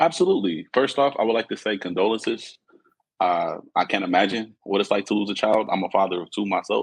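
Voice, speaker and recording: In an American accent, a man talks fairly quickly in a normal speaking voice, fairly low in pitch, with ordinary pitch variation. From Los Angeles area, California. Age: 30s. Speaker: guest sharing personal story. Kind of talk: testimony.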